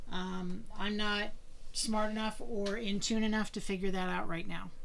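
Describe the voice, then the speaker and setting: The woman speaks with an American accent at a fairly high pitch and a moderate pace. Her intonation is fairly even, and audible room echo is present. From Pennsylvania. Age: 60s. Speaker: cross-stitch vlogger. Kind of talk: casual video monologue.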